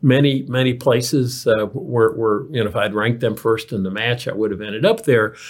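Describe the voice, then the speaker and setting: Somewhat breathy, a man talks with a medium pitch and ordinary pitch variation. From Kentucky. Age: 60s. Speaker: physician and healthcare executive. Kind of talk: interview. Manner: halting, many fillers and repetitions.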